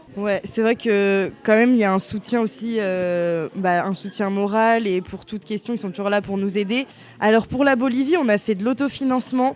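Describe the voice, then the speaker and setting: A woman with a plain, everyday voice and a medium pitch. She speaks at a moderate pace with ordinary pitch variation. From western France (Bressuire). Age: 20s. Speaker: university student. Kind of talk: testimony.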